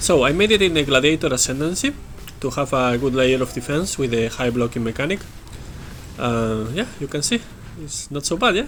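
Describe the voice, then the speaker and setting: Over noticeable background noise, a man with a fairly high pitch talks at a fairly quick pace with lively intonation. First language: Spanish. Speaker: gaming video creator. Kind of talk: gameplay commentary. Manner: halting, many fillers.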